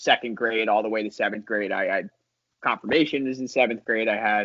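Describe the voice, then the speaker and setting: Here is a man with a plain, everyday voice and an American accent. His medium pitch stays in fairly even intonation at a fairly quick pace. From New Jersey, US Northeast. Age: 20s. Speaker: former missionary, music producer. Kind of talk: casual interview, life story. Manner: casual, many fillers.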